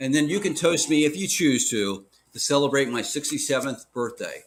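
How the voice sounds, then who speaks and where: Talking at a moderate pace, a man with a normal speaking voice has a fairly high pitch and lively intonation. The recording is very clean, with a silent background. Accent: American. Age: 60s. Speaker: local news publisher and podcast co-host. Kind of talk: casual podcast chat. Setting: Facebook Live stream.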